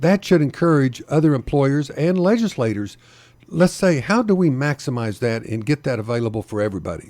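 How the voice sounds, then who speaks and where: A fairly high, dark and mellow male voice with an American accent, very wide pitch swings and a fairly quick pace. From Oklahoma. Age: 70s. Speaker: political candidate. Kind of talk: radio interview. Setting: radio studio. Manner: halting, repeats words.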